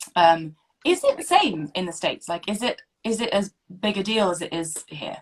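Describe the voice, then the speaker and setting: A woman with a British accent speaks at a moderate pace and medium pitch. Her voice is somewhat breathy, with very wide pitch swings. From UK. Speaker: podcast host. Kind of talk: scripted introduction; casual interview chat. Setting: recording from home, video call.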